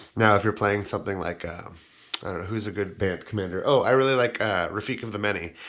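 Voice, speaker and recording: The speech moves at a very fast pace with fairly even intonation. Noticeable background noise runs underneath. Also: man, fairly low pitch for a man. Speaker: YouTuber reviewing Magic card game cards. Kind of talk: casual video tutorial. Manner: casual, with fillers.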